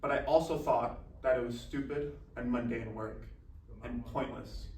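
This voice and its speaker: The man's speech comes with noticeable background noise and an audible echo from the room. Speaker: college athlete and motivational speaker. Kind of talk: motivational speech. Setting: speaking to a university club. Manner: formal.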